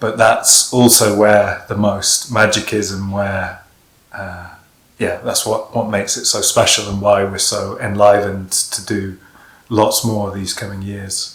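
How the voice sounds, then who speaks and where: Flat, monotone intonation delivered at a fairly slow pace. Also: man, fairly low pitch for a man. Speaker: workshop leader. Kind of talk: casual chat. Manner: halting.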